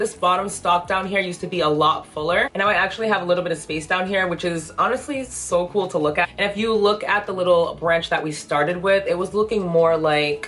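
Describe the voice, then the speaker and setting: A woman speaks at a fairly quick pace with medium pitch and fairly even intonation. Noticeable background noise runs under her voice. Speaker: plant content creator. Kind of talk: casual vlog tutorial. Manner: chatty, talkative.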